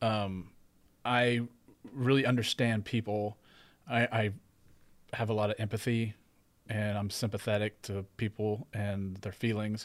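A fairly low-pitched man in a monotone, flat delivery, with long, frequent pauses, on a very clean recording with a silent background. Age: 40s. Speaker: podcast host. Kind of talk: casual interview.

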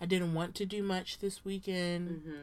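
Animated in tone, a woman with an American accent speaks with ordinary pitch variation. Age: 20s. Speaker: podcast co-host. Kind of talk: casual chat between friends. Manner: animated, laughs often.

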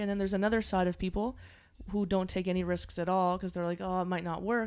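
On a very clean recording with a silent background, a woman at medium pitch talks at a very fast pace in a monotone, flat delivery. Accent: Maritime Canadian. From Halifax, Nova Scotia, Canada. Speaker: singer-songwriter. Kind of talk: interview.

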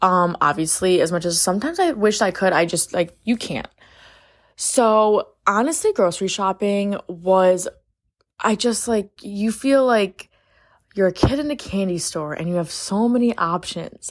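In an American accent, an ordinary speaking voice moves at a fairly slow pace with lively intonation, on a very clean recording with a silent background. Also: woman, medium pitch for a woman. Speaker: podcast host, college student. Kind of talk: casual solo chat. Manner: chatty, filler-heavy.

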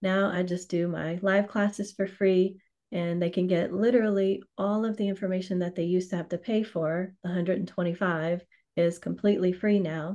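Over a quiet background, a woman with a Louisiana accent speaks at a moderate pace in a medium pitch, her tone dark and mellow and her intonation monotone and flat. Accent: Louisiana Southern US. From US South, Louisiana (New Orleans). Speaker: financial services trainer and course creator. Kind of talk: interview.

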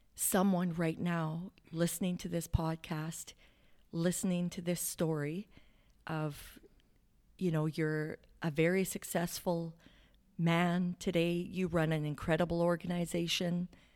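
Recorded very cleanly against a silent background, a woman with a Canadian accent speaks at a fairly slow pace in a fairly low, monotone, flat voice. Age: 40s. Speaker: podcast host. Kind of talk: interview, casual chat. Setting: studio.

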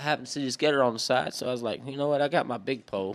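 A man talks at a very fast pace at medium pitch with ordinary pitch variation. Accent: Southern Louisiana. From southwest Louisiana. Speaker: hunter and fisherman. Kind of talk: casual chat.

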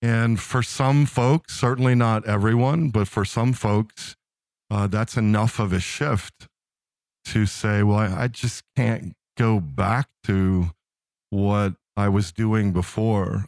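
Recorded very cleanly against a silent background, with a dry, close sound and no echo, a man in a normal speaking voice speaks at a fairly slow pace with an American accent. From US East Coast, Philadelphia. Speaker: nonprofit executive director and caregiver. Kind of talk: casual interview.

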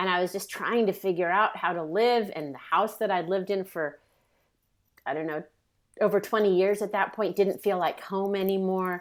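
An unremarkable speaking voice from a woman with an American accent, medium pitch, fairly even intonation and a moderate pace, on a very clean recording with a silent background. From US West Coast, San Francisco Bay Area. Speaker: memoir author. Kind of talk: interview conversation.

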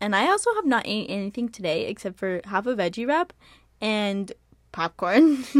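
A woman speaks at a moderate pace in an animated, playful tone, her pitch rising and falling in an ordinary way. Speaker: podcast host. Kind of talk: casual chat.

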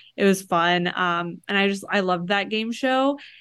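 A woman's plain, everyday voice at medium pitch, moderate pace, quiet background. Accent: American. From Florida. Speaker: TikTok pop culture creator. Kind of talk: casual chat.

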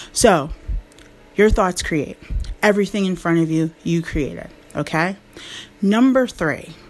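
Amid noticeable background noise, a woman with a fairly low pitch and an animated tone talks at a fairly slow pace with ordinary pitch variation and long, frequent pauses. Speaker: life coach. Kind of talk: motivational talk.

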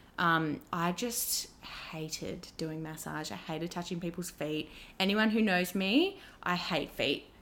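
With an Australian accent, a woman speaks in a fairly low pitch with ordinary pitch variation. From Australia, Wollongong. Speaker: beauty and dermal therapist. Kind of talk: casual chat.

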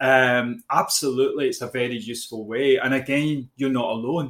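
The speaker has a Glaswegian accent and keeps a moderate pace. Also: man. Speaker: business coach. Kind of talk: podcast conversation. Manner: hesitant, with fillers and repeats.

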